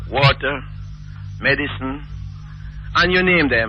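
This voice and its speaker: Amid noticeable background noise, a man talks at a moderate pace. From Jamaica. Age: 60s. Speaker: caller. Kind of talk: call-in talk radio opinion.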